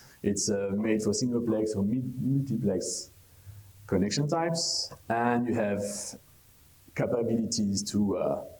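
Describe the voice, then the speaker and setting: In a French accent, a man talks at a fairly slow pace and medium pitch, his tone dark and mellow, his loudness very even, with long, frequent pauses and audible room echo. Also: ordinary pitch variation. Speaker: conference speaker on traffic technology. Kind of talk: conference presentation. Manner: hesitant, many fillers.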